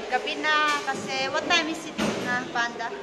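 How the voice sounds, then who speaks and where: Woman at a moderate pace over loud background noise. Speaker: vlogger. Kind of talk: casual vlog chat. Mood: cheerful, relaxed. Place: cafe. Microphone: phone near.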